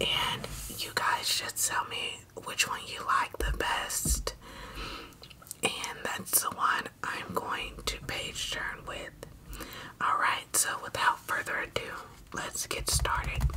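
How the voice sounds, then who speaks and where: Very slow whispering broken by long, frequent pauses. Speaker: ASMR creator. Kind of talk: soft-spoken ASMR intro chat. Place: home room. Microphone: studio mic.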